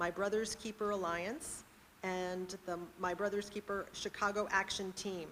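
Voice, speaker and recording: At a moderate pace, a woman of medium pitch speaks with fairly even intonation in a plain, everyday voice. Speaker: poetry event host. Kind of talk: event introduction.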